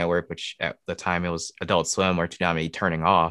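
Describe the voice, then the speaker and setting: A bright, sharp tone with an American accent at a fairly quick pace, with a dry, close sound with no echo and a quiet background. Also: man. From Michigan. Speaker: comic creator and illustrator. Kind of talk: casual interview.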